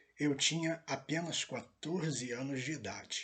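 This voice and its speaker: A man at a fairly high pitch, with ordinary pitch variation and a very slow pace. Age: 60s. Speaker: pastor. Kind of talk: testimony. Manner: hesitant, many fillers.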